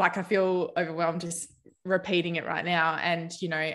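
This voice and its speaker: Bright and sharp in tone, a woman with an Australian accent speaks at a medium pitch and moderate pace in a monotone, flat delivery. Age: 30s. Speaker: naturopath. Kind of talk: interview.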